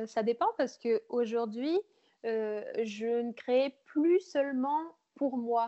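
Her loudness very even, a woman speaks at a very slow pace in a high voice with ordinary pitch variation. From France, Berry (Bourges). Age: 20s. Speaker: freelance photographer and videographer. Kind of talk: casual interview.

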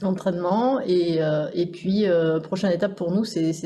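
A woman speaks at a medium pitch and a moderate pace. Her intonation stays fairly even against noticeable background noise. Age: 40s. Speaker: insurance team manager. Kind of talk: casual interview.

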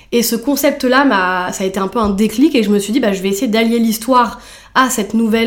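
A woman speaks at a fairly quick pace in a plain, everyday voice, her fairly high pitch moving with ordinary variation. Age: 30s. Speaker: fashion brand founder. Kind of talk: interview.

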